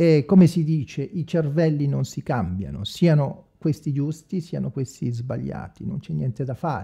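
A man speaks at a moderate pace with hardly any pauses, his fairly high voice dark, mellow and somewhat breathy. His intonation is lively, his loudness swings widely, and the background is quiet. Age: 40s. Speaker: evangelical preacher, online video maker; religious channel host. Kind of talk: improvised livestream monologue. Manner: halting, many fillers. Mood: earnest, somewhat defensive. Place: home room. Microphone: studio mic.

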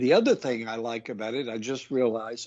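A man's voice with a Southern US accent. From small-town North Carolina, US South. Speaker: needlepoint designer. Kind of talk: casual interview chat.

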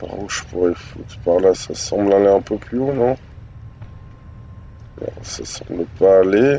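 Against noticeable background noise, a man speaks very slowly with hardly any pauses, his fairly low pitch showing ordinary variation. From northern France. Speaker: gaming youtuber. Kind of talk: let's play commentary. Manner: casual, hesitant.

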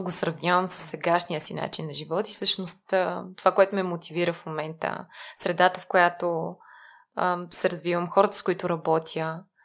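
On a very clean recording with a silent background, a woman speaks at a moderate pace in a fairly low pitch. Her intonation stays monotone and flat while her loudness swings widely. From Bulgaria, Lyubimets. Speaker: nonprofit mentoring program manager. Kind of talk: interview conversation.

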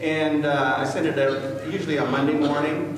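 A man's voice carries strong room echo along with light background noise. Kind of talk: public speech to a community meeting. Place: meeting room. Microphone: camera far.

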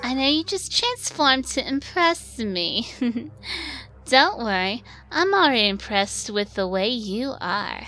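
A female-sounding, put-on character voice speaks at a moderate pace and high pitch, with light background noise. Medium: fan dub. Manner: flirty, teasing, smug.

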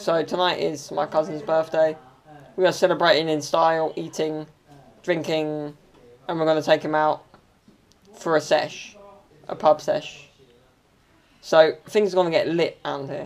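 A man talks at a moderate pace in a monotone, flat delivery. Long pauses come often. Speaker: vlogger. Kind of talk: casual vlog chat. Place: home room. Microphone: phone near.

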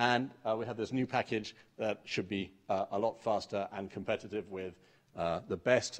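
At a moderate pace and with ordinary pitch variation, the voice comes through over a quiet background. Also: man. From England. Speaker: mathematics researcher. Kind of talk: conference talk. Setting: stage with audience. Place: hall.

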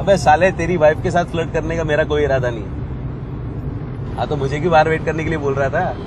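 At a moderate pace and with fairly even intonation, a man is heard in a dry sound with no echo amid noticeable background noise. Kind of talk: scripted film dialogue, phone conversation. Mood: annoyed, protesting. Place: car.

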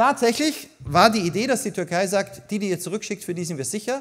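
With a Viennese accent, a man talks at a moderate pace in a high pitch with very wide pitch swings over a quiet background. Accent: Viennese Austrian German. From Austria, Vienna. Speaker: migration policy expert, author; keynote speaker. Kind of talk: keynote speech. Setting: congress stage with audience. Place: hall. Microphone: podium.

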